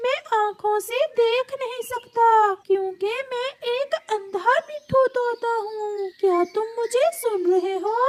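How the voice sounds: A woman's cartoonish character voice at an extremely high pitch, very slow and with hardly any pauses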